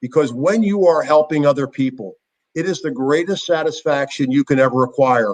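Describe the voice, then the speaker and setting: A normal speaking voice with an American accent, ordinary pitch variation and a moderate pace. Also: man. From Philadelphia, US. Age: 60s. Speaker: former football player and motivational speaker. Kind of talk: interview. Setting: at home.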